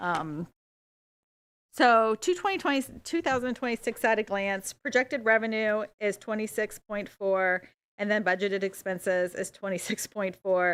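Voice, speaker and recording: In a very clean recording with a silent background, a woman talks in a fairly high pitch with ordinary pitch variation. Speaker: city auditor. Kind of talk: budget presentation. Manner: fast.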